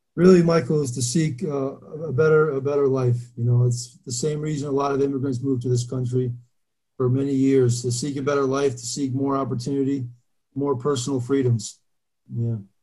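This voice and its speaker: A man with a New Jersey accent speaks fairly quickly at a medium pitch, somewhat breathy and monotone. His flat delivery carries audible room echo. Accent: New Jersey American. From Albania, raised in New Jersey from age 9. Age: 30s. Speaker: former pro football player. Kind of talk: casual interview.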